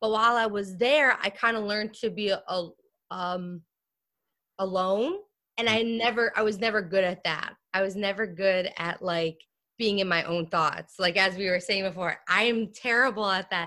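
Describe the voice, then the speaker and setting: Using a bright, sharp tone, a woman with an American accent speaks at a medium pitch and moderate pace with fairly even intonation. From US Northeast (New Jersey). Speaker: comedian. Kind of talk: casual interview. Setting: video call.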